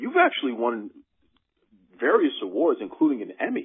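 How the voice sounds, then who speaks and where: The speaker is a man. He talks at a moderate pace. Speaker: wrestling podcast host. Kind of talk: interview. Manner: enthusiastic.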